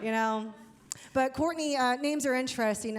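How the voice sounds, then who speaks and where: A woman is speaking at a fairly quick pace. Her pitch varies in an ordinary way. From Ohio, US Midwest. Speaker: comedian. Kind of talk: stand-up. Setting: stage with audience. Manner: casual, filler-heavy.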